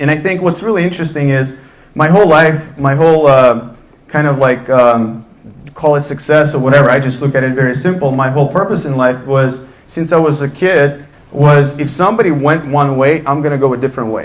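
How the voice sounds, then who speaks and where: A man with a Russian accent, fairly high pitch, ordinary pitch variation and a fairly quick pace, in audible room echo. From Russia, Ufa. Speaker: entrepreneur on a panel. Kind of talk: panel talk, personal story.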